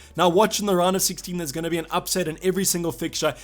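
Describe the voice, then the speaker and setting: A man talks at a very fast pace. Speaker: fantasy football YouTuber. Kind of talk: casual video commentary.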